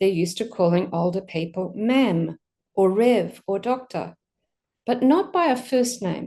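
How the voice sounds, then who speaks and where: A woman with an Australian accent speaks at a fairly slow pace and medium pitch. Her tone is dark and mellow, her intonation lively. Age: 60s. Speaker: pastor. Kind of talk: sermon.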